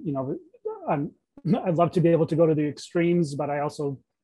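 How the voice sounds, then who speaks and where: A man speaks at a fairly quick pace with an American accent. His voice is fairly high, somewhat breathy and fairly even in intonation. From Maine, US. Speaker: residential designer. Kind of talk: interview. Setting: video call. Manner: halting, with freezes and repetitions.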